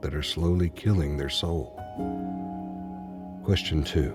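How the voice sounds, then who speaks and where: With music in the background, the speaker's intonation stays lively. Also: man. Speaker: voiceover narrator. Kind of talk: motivational self-improvement narration.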